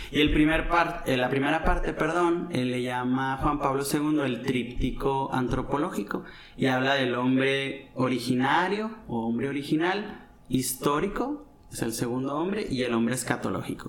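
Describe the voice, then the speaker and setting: Fairly slow speech with ordinary pitch variation, audible room echo and noticeable background noise. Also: man, fairly high pitch for a man. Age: 30s. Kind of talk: casual chat. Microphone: some echo.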